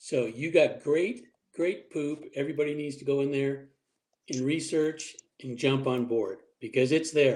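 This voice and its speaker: A man with a normal speaking voice talks at a fairly high pitch. His intonation is fairly even, yet his loudness swings widely. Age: 60s. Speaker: military veteran. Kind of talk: casual group podcast chat. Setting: group call.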